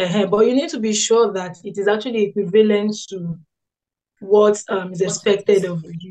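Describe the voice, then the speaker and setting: A woman's dark, mellow tone at a moderate pace, with fairly even intonation over a quiet background. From Nigeria. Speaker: biomedical scientist. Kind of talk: interview answers, explanatory. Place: home room. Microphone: video call.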